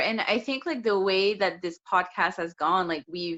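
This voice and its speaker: A woman speaks in a strong French accent at a moderate pace. Her pitch is medium, with ordinary pitch variation. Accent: thick French. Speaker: podcast co-host. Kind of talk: casual chat.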